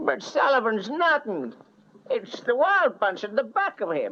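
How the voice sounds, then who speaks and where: In a put-on character voice, a man drawls at a moderate pace, his raised, projected voice sitting at an extremely high pitch and swinging very widely. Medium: short film. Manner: folksy, ungrammatical drawl.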